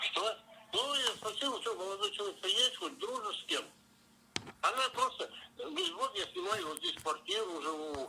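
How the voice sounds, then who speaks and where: Against noticeable background noise, a man projects his voice at an extremely high pitch with very wide swings, at a moderate pace with long, frequent pauses. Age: 60s. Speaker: taxi driver. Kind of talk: phone interview answer.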